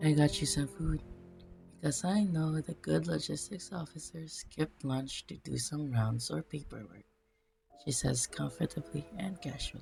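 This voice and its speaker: A moderate-paced voice over music in the background. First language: not English. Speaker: fanfiction reader. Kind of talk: reading aloud.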